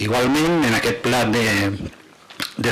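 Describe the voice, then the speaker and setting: A man talks in a plain, everyday voice at a medium pitch. Light background noise sits behind him. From Catalonia. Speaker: provincial councillor. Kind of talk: council debate. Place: hall. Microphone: podium.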